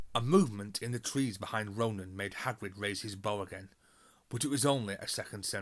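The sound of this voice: An unforced reading voice carries the clip.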